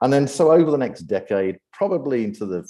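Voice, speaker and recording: A man's dark, mellow tone moves through very wide pitch swings. The background stays quiet. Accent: British. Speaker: AI ethics speaker and event host. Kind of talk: presentation talk. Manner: frequent fillers and repetitions.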